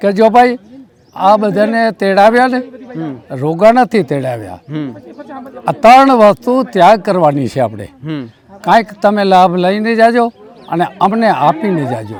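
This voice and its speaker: Against noticeable background noise, a man speaks in a high pitch with lively intonation. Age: old. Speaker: devotee recalling memories. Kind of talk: interview testimony. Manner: halting.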